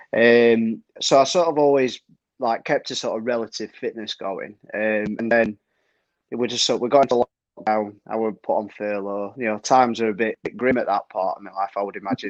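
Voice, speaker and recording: In a dry, close sound with no echo, a man with a Yorkshire accent talks at a fairly quick pace with fairly even intonation. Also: medium pitch for a man. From Yorkshire, northern England. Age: 30s. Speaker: trail runner. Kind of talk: casual chat.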